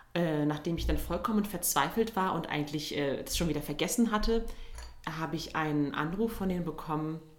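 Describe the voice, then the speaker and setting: With audible room echo, a woman speaks at a fairly quick pace with a fairly low pitch and ordinary pitch variation. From Turkey (Izmir). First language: Turkish (speaking German). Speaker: musical theatre performer. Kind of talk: casual interview.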